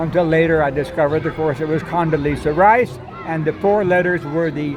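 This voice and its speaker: Over crowd noise in the background, a man speaks at a moderate pace with a fairly high pitch. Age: 80s+. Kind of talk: casual first-person monologue to camera. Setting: outdoors.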